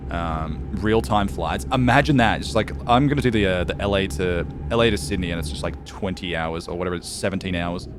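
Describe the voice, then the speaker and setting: A man with a very deep, low pitch speaks at a fairly quick pace with lively intonation and hardly any pauses. Music plays in the background, and room echo is audible. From Australia, east coast. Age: 20s. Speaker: video game streamer. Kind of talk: casual live stream chat.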